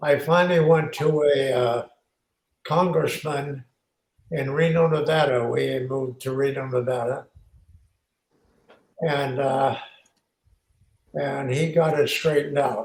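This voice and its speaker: Somewhat breathy, a man with a fairly high pitch talks at a fairly slow pace, leaving long, frequent pauses. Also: fairly even intonation. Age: 80s+. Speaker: war veteran. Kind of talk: interview.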